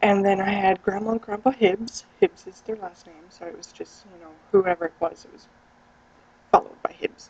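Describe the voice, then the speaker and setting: A woman speaks at medium pitch with an American accent. Noticeable background noise is present. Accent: overpronounces words, picks up accents. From US Midwest, Iowa. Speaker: vlogger. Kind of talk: casual vlog. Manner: animated.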